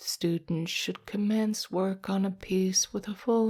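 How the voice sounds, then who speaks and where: At a fairly slow pace, a woman speaks in a calm tone with a dark, mellow quality, a medium pitch and fairly even intonation. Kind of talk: ASMR sleep reading. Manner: whispered, soft-spoken; slow, calm.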